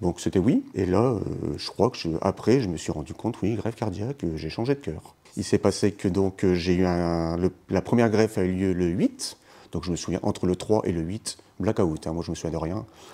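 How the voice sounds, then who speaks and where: A man's very deep, low voice with a dark, mellow tone, moderate pace and ordinary pitch variation. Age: 50s. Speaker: heart transplant patient, math teacher. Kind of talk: testimony. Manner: hesitant, many fillers.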